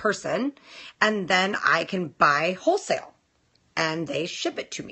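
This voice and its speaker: With a West Coast American accent, a woman speaks at a fairly slow pace. Her pitch swings very widely over a quiet background. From West Coast of the US. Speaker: nail technician livestream host. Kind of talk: casual live stream chat. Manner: chatty, casual, reads viewer comments aloud. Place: home room. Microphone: phone near.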